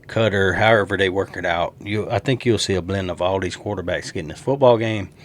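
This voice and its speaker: This man talks at a fairly quick pace. He speaks in a Southern US accent. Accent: country Southern. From US South. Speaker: sports YouTuber. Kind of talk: casual sports predictions monologue. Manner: animated.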